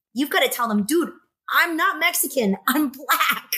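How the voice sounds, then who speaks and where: A woman's raised, projected voice in an American accent, animated and bright with a sharp edge, moderate in pace, with very wide pitch swings. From US South, Savannah, Georgia. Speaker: podcast host. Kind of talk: casual chat.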